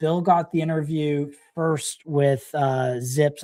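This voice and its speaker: The speaker has a Canadian accent. The delivery is at a very slow pace. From Canada. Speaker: crypto livestream host. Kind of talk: live stream interview. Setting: live stream.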